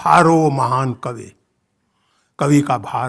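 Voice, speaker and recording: In a very clean recording with a silent background, a man speaks in a somewhat breathy voice. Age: 60s. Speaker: writer and professor giving a speech. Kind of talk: inaugural speech at a literature festival. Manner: impassioned, formal.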